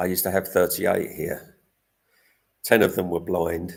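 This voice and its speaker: A man with an English accent speaks in a very deep, low pitch. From England. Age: 60s. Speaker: cat rescuer and vlogger. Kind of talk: live stream chat. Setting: live stream.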